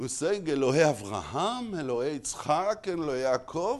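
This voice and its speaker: A man speaks very slowly with an Israeli accent. His pitch swings very widely. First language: Hebrew. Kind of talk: lecture. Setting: stage with audience. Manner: halting, frequent repetitions.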